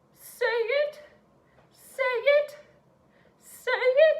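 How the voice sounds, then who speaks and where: Put-on character voice at an extremely high pitch. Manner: theatrical, wizardly.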